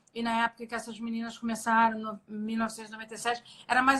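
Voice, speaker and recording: A woman is speaking. She has a slight Rio de Janeiro accent. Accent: slight carioca. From Rio de Janeiro, Brazil (born in Minas Gerais). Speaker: jiu-jitsu athlete. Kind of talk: interview. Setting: live stream video call.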